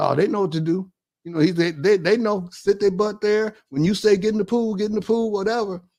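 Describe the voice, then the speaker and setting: A man with a high pitch and an American accent, at a fairly quick pace with ordinary pitch variation. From Detroit, Michigan. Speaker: retired basketball coach. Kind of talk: casual storytelling interview.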